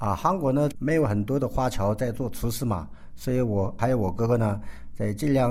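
With audible room echo, a man talks at a moderate pace in a fairly low pitch, his tone dark, mellow and somewhat breathy. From South Korea (ethnic Chinese). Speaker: chef. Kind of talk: interview.

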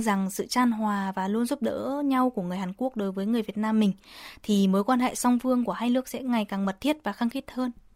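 Speaking at a moderate pace, a woman with a fairly high voice varies her pitch in an ordinary way. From Vietnam. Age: 20s. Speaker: university student. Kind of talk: radio interview. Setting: radio studio. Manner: hesitant, frequent fillers.

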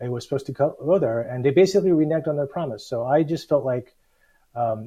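Against a quiet background, a man talks at a fairly quick pace in a dark, mellow tone that is somewhat breathy. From US South (Alabama and Georgia). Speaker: city mayor. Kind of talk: interview. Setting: video call. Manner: halting, many fillers.

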